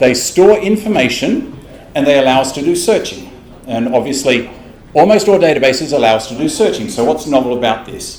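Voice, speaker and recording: Against noticeable background noise and audible room echo, a man with an Australian accent speaks at a fairly quick pace with very wide pitch swings. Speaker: tech company developer advocate presenting. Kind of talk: technical presentation. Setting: stage with live audience. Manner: fast, animated.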